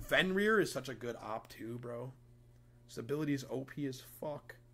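Lively intonation and a bright, sharp tone mark this man's speech at a moderate pace. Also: medium pitch for a man. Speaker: video game streamer. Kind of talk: live gameplay stream commentary. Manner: animated.

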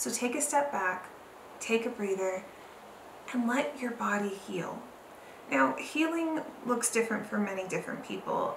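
Speaking at a moderate pace with long, frequent pauses, a woman with an American accent uses fairly high pitch and very wide pitch swings over noticeable background noise. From Southern California. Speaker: YouTuber. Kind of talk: vlog tutorial. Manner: halting, filler-heavy. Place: home room.

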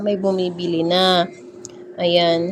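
A woman at medium pitch speaks at a very slow pace. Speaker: vlogger and milk tea shop owner. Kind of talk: casual vlog narration. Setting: in her shop. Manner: laughing.

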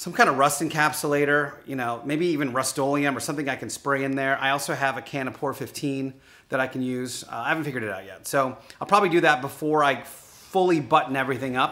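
A man talks at a very fast pace. His loudness swings widely, while his pitch varies an ordinary amount. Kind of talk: casual vlog chat. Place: garage. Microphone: phone near.

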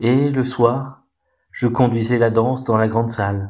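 This man has an unremarkable speaking voice at medium pitch. He speaks at a fairly slow pace with fairly even intonation. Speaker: storyteller reading a tale aloud. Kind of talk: dramatic narration of a fairy tale, with character voices. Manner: expressive and theatrical, changing voice for each character.

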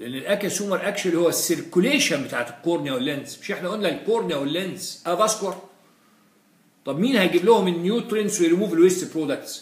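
A man's high-pitched voice at a very fast pace with lively intonation. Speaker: physiology lecturer. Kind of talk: lecture. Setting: live-streamed lecture. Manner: animated.

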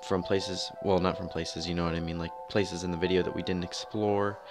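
Over music in the background, a man with a very deep, low voice and ordinary pitch variation speaks at a very fast pace. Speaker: channel host. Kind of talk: casual vlog intro voice-over.

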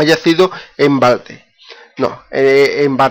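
Fairly high pitch from a man, with ordinary pitch variation.

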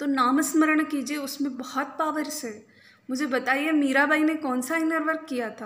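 The intonation stays fairly even. The pace is fairly slow. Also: woman. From India. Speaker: reiki healer and spiritual coach; spiritual coach. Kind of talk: spiritual talk to camera. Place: home room. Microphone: phone near.

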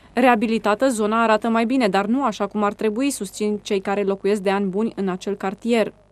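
A woman's fairly high voice, monotone and flat, at a fairly quick pace with hardly any pauses. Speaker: news reporter. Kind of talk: news narration. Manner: formal.

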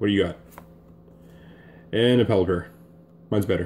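A man's fairly low, slightly mellow voice at a moderate pace with ordinary pitch variation.

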